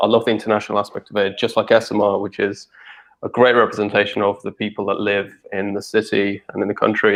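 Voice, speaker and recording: With a British accent, a man of fairly low pitch talks at a fairly quick pace. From England (from age ten; born in Russia). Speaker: staff member of a research association. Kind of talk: casual interview chat.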